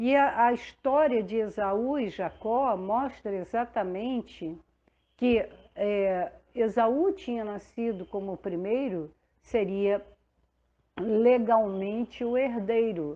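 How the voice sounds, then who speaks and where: Her delivery is very slow. The woman's voice is fairly high, and its pitch varies in an ordinary way. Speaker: pastor; radio announcer. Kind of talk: devotional sermon. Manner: conversational, unhurried.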